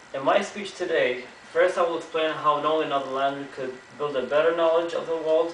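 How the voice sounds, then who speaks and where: A man speaks with an Arabic accent at a fairly high pitch and fairly quick pace. Room echo is audible. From Kuwait. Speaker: student giving a class speech. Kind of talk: prepared speech. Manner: halting, with self-corrections.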